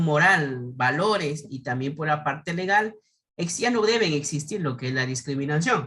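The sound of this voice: The intonation is lively and the tone fairly bright. The pace is fairly slow.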